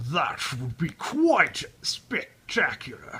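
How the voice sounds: A man adopts a put-on character voice, pitched high and delivered at a very slow pace.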